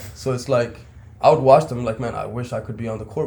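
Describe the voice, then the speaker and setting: This man's voice is somewhat breathy and dark and mellow in tone, with a slight Pakistani accent. He talks at a fairly quick pace in a monotone, flat intonation. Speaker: basketball coach. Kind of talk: casual chat.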